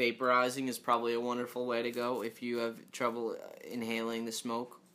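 A man with a normal speaking voice talks at a medium pitch. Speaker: podcast host.

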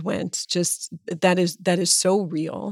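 With vocal fry and a fairly low pitch, a woman speaks with ordinary pitch variation in a very clean recording over a silent background. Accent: American. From Pennsylvania, US (Erie). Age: 50s. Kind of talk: interview conversation.

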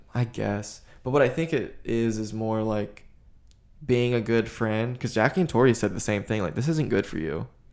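With an unremarkable speaking voice at a medium pitch, a man talks at a moderate pace in a very clean recording with a silent background. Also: ordinary pitch variation. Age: 20s. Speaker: podcast host appearing as guest. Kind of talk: casual chat.

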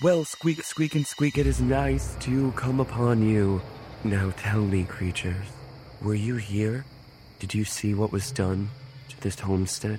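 Someone does a put-on character voice at a fairly slow pace over clear background noise. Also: man, fairly low pitch for a man. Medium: actual play. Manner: grandiose, archaic.

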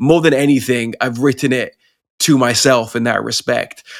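The recording is very clean with a silent background, and the voice carries a British accent. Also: man. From Pakistan, English missionary family. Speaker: rapper and poet. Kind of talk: casual interview.

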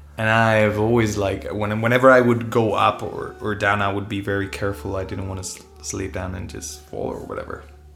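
A man's fairly low voice at a fairly quick pace, hardly any pauses, big swings in loudness and ordinary pitch variation, with noticeable background noise and audible room echo. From Spain. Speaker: singer-songwriter. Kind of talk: casual chat.

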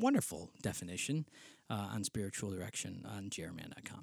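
A man with a Western New York accent sounds animated, with lively intonation, in a dry, close recording with no echo that is very clean with a silent background. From Western New York State. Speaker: spiritual director and podcast host. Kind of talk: casual solo podcast monologue. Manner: informal, rambling, animated, with fillers.

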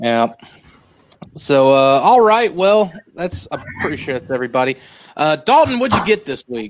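This man talks at a moderate pace in a fairly high voice, and his pitch swings very widely. Long pauses come often. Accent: Southern. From US South. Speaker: podcast host. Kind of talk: casual chat. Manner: animated.

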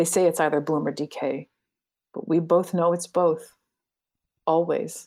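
A soft-spoken woman's voice, fairly low in pitch and monotone, flat in intonation, in a very clean recording with a silent background. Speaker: writer and translator. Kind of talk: casual interview conversation.

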